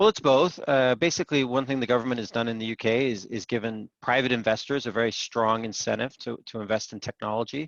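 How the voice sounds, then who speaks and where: A man at a medium pitch, very fast and with hardly any pauses, ordinary pitch variation, and a dry, close sound with no echo. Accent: American. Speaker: investor and startup panel judge. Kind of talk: panel discussion. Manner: hesitant, many filler words.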